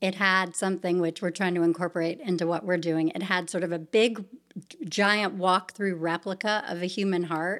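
In a very clean recording with a silent background, a woman with an American accent speaks in a plain, everyday voice at a moderate pace with fairly even intonation. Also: medium pitch for a woman. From US South, Savannah, Georgia. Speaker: nonprofit founder and children's author. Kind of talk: interview conversation.

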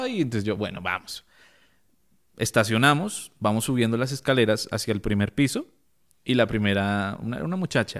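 In a Bogotá accent, the voice moves at a moderate pace with lively intonation on a very clean recording with a silent background. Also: man. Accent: Bogotá Colombian Spanish. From Colombia, Bogotá. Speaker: photographer and content creator. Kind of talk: interview.

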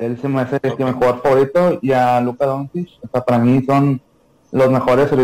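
A man's medium-pitched voice, fairly quick in pace, with monotone, flat intonation. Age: 20s. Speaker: former basketball player. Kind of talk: casual interview.

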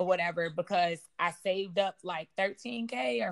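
A woman speaks at a fairly slow pace in a plain, everyday voice, with an American accent and medium pitch. The sound is dry and close, with no echo. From US Midwest, south side of Chicago. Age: 20s. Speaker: aspiring surgeon. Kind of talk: interview.

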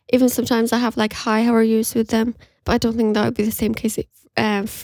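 A woman's plain, everyday voice, fairly high and fairly quick, with a dry, close sound and no echo. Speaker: podcast co-host, university student. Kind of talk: casual chat. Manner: laughs often.

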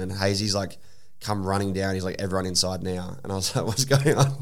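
Speech races along at a very fast pace with audible room echo. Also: man. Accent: Australian. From South Australia (Adelaide). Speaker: DJ and social media content creator. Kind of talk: casual chat.

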